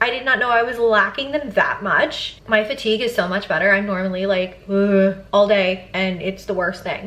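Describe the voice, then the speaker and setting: There is noticeable background noise as a woman speaks at a moderate pace with hardly any pauses. Her pitch is medium, with ordinary variation. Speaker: lifestyle vlogger. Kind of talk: casual vlog talk to camera.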